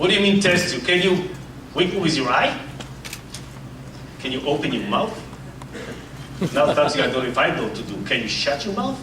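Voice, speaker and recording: A man with an American accent speaks at a fairly quick pace in a high pitch, with very wide pitch swings and long, frequent pauses. Audible room echo and noticeable background noise surround his voice. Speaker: tech executive presenter. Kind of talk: keynote presentation. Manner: animated.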